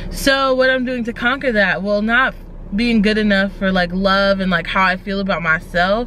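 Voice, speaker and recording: A woman speaks at a moderate pace with ordinary pitch variation. The sound is dry with no echo, and light background noise can be heard. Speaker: vlogger. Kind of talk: casual vlog chat. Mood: reflective, candid. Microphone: phone near.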